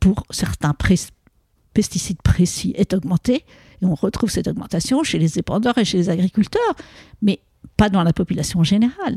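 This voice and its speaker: A woman speaks at a moderate pace in a somewhat breathy, dark, mellow voice of medium pitch, with lively intonation, long and frequent pauses, and a dry, close sound with no echo. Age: 70s. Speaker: epidemiologist. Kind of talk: interview.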